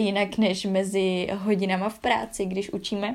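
At a moderate pace, a woman speaks with medium pitch and monotone, flat intonation on a very clean recording with a silent background. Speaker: podcast host. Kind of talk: casual interview; podcast intro and outro. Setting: echoey room, in England.

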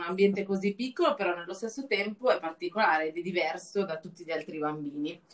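A woman at a very fast pace over noticeable background noise. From Lombardy, northern Italy. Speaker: travel journalist and podcast host. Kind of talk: casual chat.

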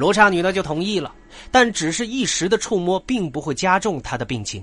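Using very wide pitch swings, a man speaks at a high pitch. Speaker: podcast host narrating comic character stories. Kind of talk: scripted narration.

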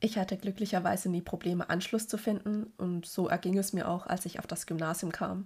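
Over a silent background in a very clean recording, a woman talks at a fairly quick pace with a medium pitch and a somewhat breathy voice. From Germany. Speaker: podcaster. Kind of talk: personal monologue.

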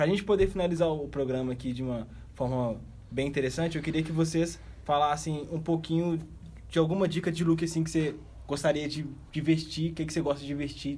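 A man's fairly high, dark and mellow voice, very fast, with fairly even intonation and audible room echo. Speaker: podcast host. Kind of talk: casual chat.

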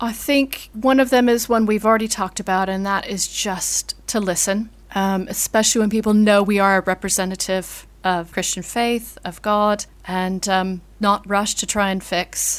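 An unremarkable speaking voice from a woman with an American accent, medium in pitch, fairly even in intonation, at a moderate pace with hardly any pauses, on a very clean recording with a silent background. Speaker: vicar. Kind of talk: interview conversation.

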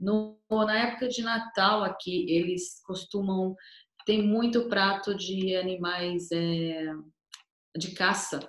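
A woman's medium-pitched voice, very slow in pace, with fairly even intonation. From Brazil, Cuiabá, Mato Grosso. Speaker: tour guide. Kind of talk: casual interview.

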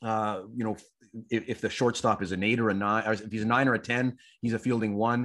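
A man with a Canadian accent, an unremarkable speaking voice at medium pitch and moderate pace, on a very clean recording with a silent background. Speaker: sports journalist. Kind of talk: casual interview.

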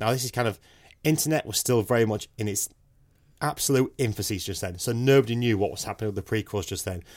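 In a very clean recording with a silent background, a man with a British accent speaks very fast, with medium pitch and ordinary pitch variation. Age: 30s. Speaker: podcast co-host. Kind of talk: casual chat.

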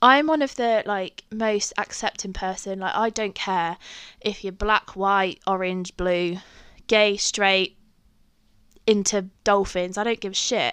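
In an English accent, a woman speaks very slowly at a medium pitch with fairly even intonation, the sound dry and close with no echo against a quiet background. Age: 20s. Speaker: podcaster. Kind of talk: casual storytelling monologue. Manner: chatty, with many fillers.

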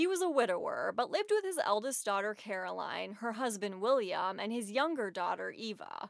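Speaking at a moderate pace, a woman uses lively intonation in an ordinary speaking voice. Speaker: podcast host. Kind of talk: true-crime horror narration, scripted and read aloud in a sombre tone.

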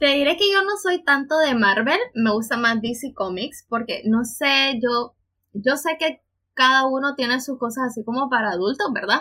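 At a fairly slow pace, a woman projects her high-pitched voice with lively intonation. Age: 20s. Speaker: podcast co-host, psychologist and teacher. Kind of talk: casual chat.

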